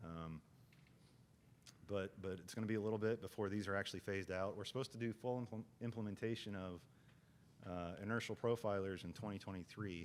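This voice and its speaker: Using fairly even intonation, a man with a fairly low pitch talks at a fairly quick pace but leaves long, frequent pauses. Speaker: state transportation agency engineer, training presenter. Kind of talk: lecture. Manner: fast; halting, many fillers and repetitions.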